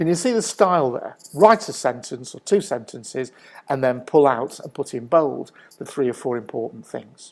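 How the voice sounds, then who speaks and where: A man with a Mancunian accent at a moderate pace, fairly high pitch with very wide swings. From northern England, Manchester. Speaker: business consultant. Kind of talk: presentation talk.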